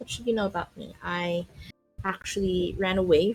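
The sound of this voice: An unforced reading voice delivered with fairly even intonation.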